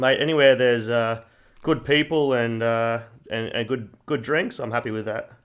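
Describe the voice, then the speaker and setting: A man with a Queensland accent, medium pitch and fairly even intonation, at a moderate pace. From Queensland, Australia. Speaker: strength and conditioning coach. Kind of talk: casual chat.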